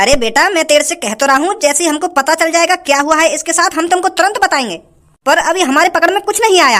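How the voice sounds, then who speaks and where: Extremely high in pitch, a cartoonish character voice rattles along at a very fast pace. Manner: calm, measured.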